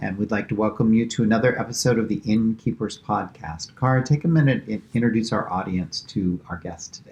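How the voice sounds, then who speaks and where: With a normal speaking voice, a man at medium pitch talks at a fairly quick pace with hardly any pauses. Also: ordinary pitch variation. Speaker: podcast host. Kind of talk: interview question.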